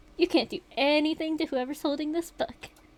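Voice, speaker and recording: A woman puts on a character voice pitched high. She talks at a fairly quick pace. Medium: game stream. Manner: sarcastic, mocking.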